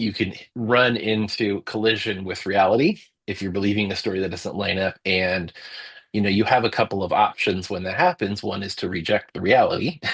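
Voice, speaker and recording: This man talks at a fairly quick pace with a fairly low pitch, fairly even intonation and a normal speaking voice. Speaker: storyteller and book editor. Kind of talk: interview answer.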